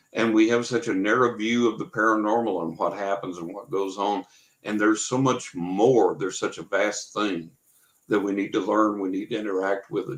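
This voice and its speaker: An unremarkable speaking voice, a man's, sits fairly low in pitch and moves at a moderate pace with ordinary pitch variation. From West Texas. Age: 60s. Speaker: psychic and paranormal researcher. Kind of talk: interview.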